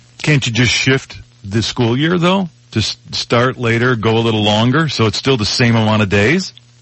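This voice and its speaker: A man with an American accent at a moderate pace, very even in loudness, over noticeable background noise. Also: medium pitch for a man, ordinary pitch variation. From US Midwest. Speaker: broadcaster and podcaster. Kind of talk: casual chat. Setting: remote call-in.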